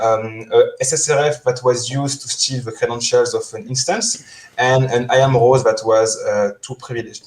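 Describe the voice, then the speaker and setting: In a French accent, a man delivers his words at a moderate pace. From France. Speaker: security engineer. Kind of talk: conference talk. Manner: halting, many fillers.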